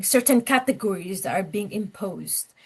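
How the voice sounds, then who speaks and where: Here a woman speaks at a fairly slow pace with a slight non-native accent. Her intonation is lively. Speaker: lecturer. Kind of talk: lecture. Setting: class, in person and on Zoom.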